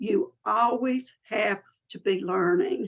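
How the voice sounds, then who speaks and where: Speaking in a Southern US accent, a woman lets her pitch vary in an ordinary way. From US South. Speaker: business mentor and marketing speaker. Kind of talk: webinar presentation. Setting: webinar. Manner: friendly, folksy.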